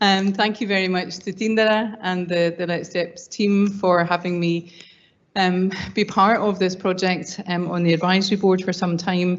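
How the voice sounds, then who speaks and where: Speaking with a Scottish accent, a woman holds a medium pitch and a moderate pace in a monotone, flat delivery. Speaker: academic panelist. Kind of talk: conference panel talk. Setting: conference panel. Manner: hesitant, many fillers.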